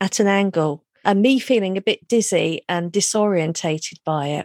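A woman with a southern English accent, medium pitch and lively intonation at a fairly slow pace, in a very clean recording with a silent background and a dry, close sound with no echo. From London, England. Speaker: hypnotherapist. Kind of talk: interview.

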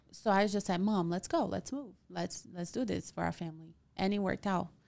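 In a Portuguese accent, a woman speaks at a moderate pace with ordinary pitch variation, on a very clean recording with a silent background. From Brazil. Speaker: real estate agent. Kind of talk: casual interview.

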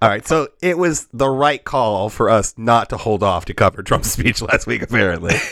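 With a normal speaking voice at medium pitch, a man talks at a moderate pace with lively intonation and hardly any pauses. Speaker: podcast host. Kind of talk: casual comedic chat podcast. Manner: joking, laughs often.

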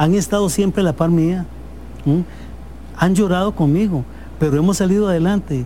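A man with a high voice at a moderate pace, long frequent pauses, very even loudness and fairly even intonation. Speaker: business owner. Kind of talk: interview.

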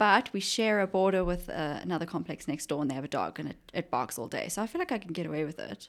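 A woman races along at a very fast pace with hardly any pauses. Her intonation is lively, with vocal fry. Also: fairly low pitch for a woman. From South Africa, Johannesburg. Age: 20s. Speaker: junior travel consultant. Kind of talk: casual chat.

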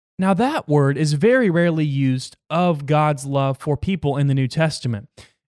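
Animated tone and lively intonation at a moderate pace, with a dry, close sound and no echo. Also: man. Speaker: Bible podcast host. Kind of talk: Bible teaching. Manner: halting.

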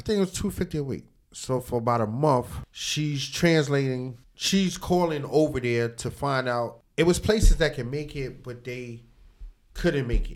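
A man with an American accent has a plain, everyday voice at a fairly high pitch, with ordinary pitch variation. He keeps a moderate pace, and his loudness swings widely. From New York. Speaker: barber shop owner and inventor. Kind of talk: interview.

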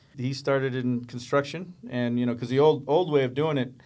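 Here is a man with an American accent and a medium pitch. He uses a normal speaking voice. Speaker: special effects coordinator. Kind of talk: casual chat.

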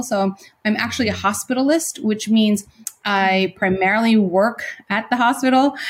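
A woman at medium pitch, somewhat breathy, at a moderate pace with ordinary pitch variation. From Philippines. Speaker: nursing professor and nurse practitioner. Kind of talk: interview. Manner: hesitant, many fillers.

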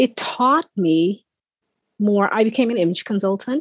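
A woman's normal speaking voice at a medium pitch with ordinary pitch variation, at a fairly slow pace, with a dry, close sound and no echo. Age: 40s. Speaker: life coach. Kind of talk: interview.

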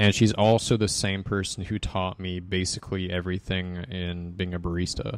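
A man with an American accent speaks at a very deep, low pitch in a monotone, flat way. The recording is very clean with a silent background. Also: moderate pace, hardly any pauses. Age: 20s. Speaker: bartender. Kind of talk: casual chat.

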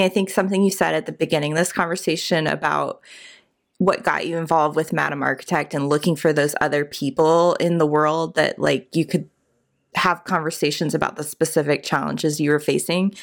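A woman with an American accent talks at a fairly quick pace in a very deep, low pitch, with vocal fry and fairly even intonation, on a very clean recording with a silent background. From US South, Richmond, Virginia. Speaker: architecture podcast co-host, business owner. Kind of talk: casual chat.

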